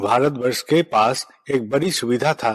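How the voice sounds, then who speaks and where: This man speaks with a non-native accent. His intonation stays fairly even. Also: dry, close sound with no echo. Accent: non-native Hindi. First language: Bengali (speaking Hindi). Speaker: spiritual leader. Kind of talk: spiritual address. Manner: formal.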